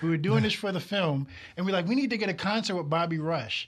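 This man has a high-pitched voice. The recording is very clean, with a silent background. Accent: New York. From New York. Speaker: television director. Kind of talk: casual chat. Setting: studio.

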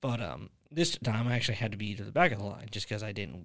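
Over a silent background in a very clean recording, a man talks at a fairly quick pace with vocal fry and fairly even intonation. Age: 20s. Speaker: podcast host. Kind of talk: casual chat.

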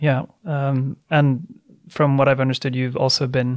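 In a Swedish accent, a man speaks at a medium pitch. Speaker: podcast host, think tank head. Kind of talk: interview.

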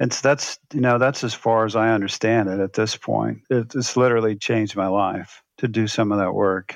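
A man with an ordinary speaking voice, medium pitch and fairly even intonation, at a moderate pace with hardly any pauses, against a quiet background. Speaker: former pastor and author. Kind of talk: interview.

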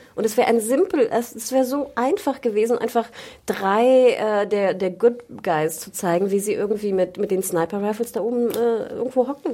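Noticeable background noise runs under this recording. A woman with a fairly high pitch speaks at a moderate pace. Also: ordinary pitch variation. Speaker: podcast co-host. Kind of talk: casual chat. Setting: studio.

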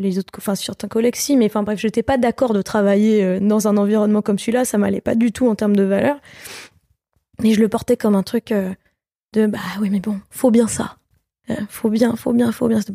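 A woman's fairly high but dark, mellow voice at a fairly quick pace with monotone, flat intonation, long, frequent pauses, and a dry, close sound with no echo. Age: 20s. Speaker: singer. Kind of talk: casual chat.

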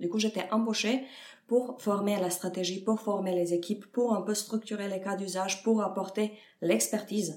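A woman with a Serbian accent, noticeable background noise behind her. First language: Serbian (speaking French). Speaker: head of data at a fintech. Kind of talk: interview. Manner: halting, many fillers.

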